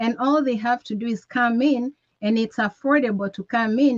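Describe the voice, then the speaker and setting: In an East African accent, a woman speaks at a fairly high pitch and moderate pace, somewhat breathy, with a dry, close sound and no echo. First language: Swahili. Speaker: network marketing presenter. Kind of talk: motivational sales talk.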